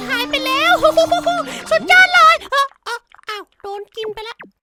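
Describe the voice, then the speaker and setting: A man puts on a cartoonish character voice at an extremely high pitch. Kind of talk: comedic cartoon fandub. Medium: dub. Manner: excitable, exaggerated.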